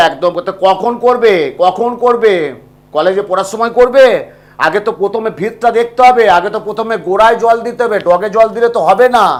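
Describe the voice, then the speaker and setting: A loud man speaks at a high pitch. His pitch varies in an ordinary way. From India, West Bengal (Bankura district). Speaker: astrologer. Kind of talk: live call-in consultation. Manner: talkative.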